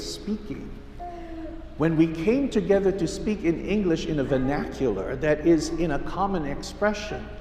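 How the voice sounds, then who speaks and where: Man with a Hawaiian accent, audible room echo and noticeable background noise. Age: 70s. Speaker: pastor. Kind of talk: sermon.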